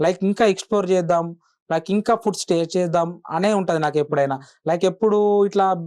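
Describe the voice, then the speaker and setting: His intonation is fairly even. The man's voice sits high in pitch. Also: quiet background. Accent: Telangana. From Telangana, Jagtial. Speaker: food influencer. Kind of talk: interview.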